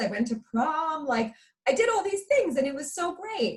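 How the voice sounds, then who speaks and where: Talking at a fairly quick pace in a New York accent, a woman's pitch swings very widely. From New York, Long Island. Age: 40s. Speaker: motivational speaker. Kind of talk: interview.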